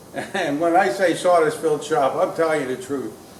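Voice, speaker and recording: This man talks at a fairly quick pace in a high pitch with ordinary pitch variation. Room echo is audible, and background noise is noticeable. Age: 60s. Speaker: woodworker and cabinet maker vlogger. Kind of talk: casual vlog monologue. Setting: woodworking shop. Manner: hesitant, many fillers.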